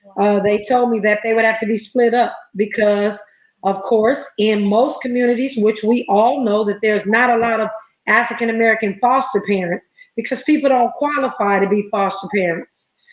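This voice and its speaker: In a plain, everyday voice, a woman speaks at a moderate pace, fairly high in pitch, with ordinary pitch variation and very even loudness. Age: 50s. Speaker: entrepreneur and foster parent. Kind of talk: interview. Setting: livestream.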